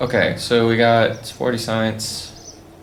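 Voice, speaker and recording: A man speaks at a very slow pace with a medium pitch. Noticeable background noise and audible room echo are present. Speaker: gaming youtuber. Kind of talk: gameplay commentary. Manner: casual, filler-heavy.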